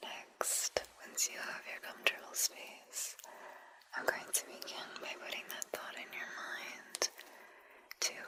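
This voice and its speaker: Over noticeable background noise, a woman whispers very slowly. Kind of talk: sleep hypnosis guided relaxation. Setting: studio, close-mic ASMR. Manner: whispered, soft.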